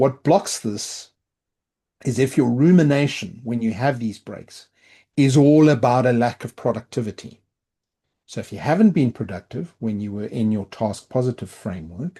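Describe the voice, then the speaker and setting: Against a quiet background, a man with a South African accent speaks at medium pitch in a dark, mellow tone, with lively intonation and big swings in loudness. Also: moderate pace. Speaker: product and technology leader. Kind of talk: podcast interview.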